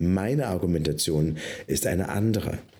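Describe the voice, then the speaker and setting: Dark and mellow in tone, a man's voice moves at a fairly slow pace. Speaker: pastor and podcast co-host. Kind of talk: casual chat.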